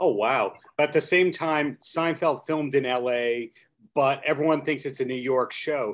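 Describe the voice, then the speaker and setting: A man with a normal speaking voice, fairly high pitch and a fairly slow pace, against a quiet background. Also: fairly even intonation. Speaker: podcast host. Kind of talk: interview. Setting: video call. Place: home room. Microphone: video call.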